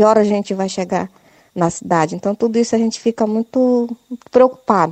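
This woman's voice is pitched fairly high and varies in an ordinary way. She delivers her words at a fairly quick speed. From Ituqui region, Santarém, Pará. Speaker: rural producer. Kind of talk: recorded complaint. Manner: halting.

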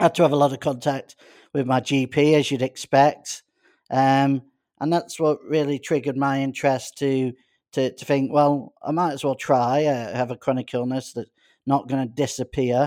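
A man with a Manchester accent and a fairly high pitch talks in a monotone, flat intonation at a moderate pace, in a very clean recording with a silent background and a dry, close sound with no echo. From Greater Manchester, northern England. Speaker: doctor. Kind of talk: interview. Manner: halting.

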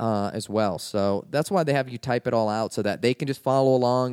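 At a moderate pace, an ordinary speaking voice comes through dry and close, with no echo. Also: man. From Washington DC area. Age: 30s. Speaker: comedian. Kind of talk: casual chat.

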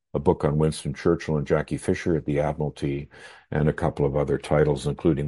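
Very deep and low in pitch, a man speaks with a Canadian accent and vocal fry. His tone is dark and mellow against a quiet background. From Canada, Victoria, British Columbia. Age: 80s+. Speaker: historian and author. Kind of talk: interview. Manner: halting.

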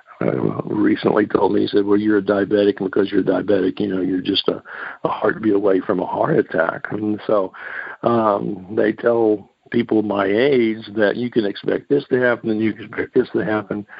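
A man with a plain, everyday voice speaks at a moderate pace and a fairly low pitch, with ordinary pitch variation. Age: 60s. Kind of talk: teaching on a call-in radio show. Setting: phone call.

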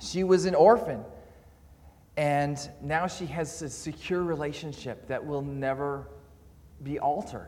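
A man speaks at a fairly slow pace with long, frequent pauses. His voice sits fairly high, with ordinary pitch variation. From Canada. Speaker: visiting preacher, seminary student. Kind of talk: sermon. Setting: church. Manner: halting, with frequent repeats and fillers.

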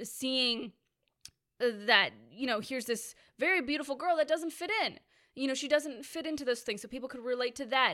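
In a raised, projected voice, a woman speaks at a fairly quick pace with high pitch and ordinary pitch variation. Her tone is bright, sharp, animated and enthusiastic. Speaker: Disney fan and YouTuber. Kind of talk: casual chat. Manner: animated, enthusiastic.

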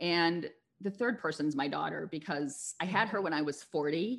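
A woman speaks in a plain, everyday voice with an American accent, her fairly low pitch carried by lively intonation. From US, Philadelphia suburbs. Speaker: life coach. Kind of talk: interview. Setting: studio.

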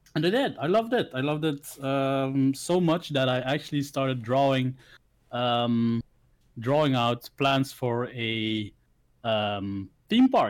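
Speaking with a Dutch accent, a man goes at a very slow pace with ordinary pitch variation. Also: medium pitch for a man. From Belgium, village. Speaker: content creator. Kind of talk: casual chat. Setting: video call.

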